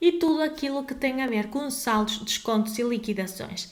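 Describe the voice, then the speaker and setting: In a room with audible echo and noticeable background noise, a woman talks at a moderate pace in a high voice. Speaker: legal advisor. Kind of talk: tutorial.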